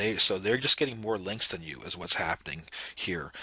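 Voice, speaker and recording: A man talks in a bright, sharp tone with fairly even intonation. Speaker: SEO marketing consultant. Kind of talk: screen-recorded audit walkthrough. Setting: home office.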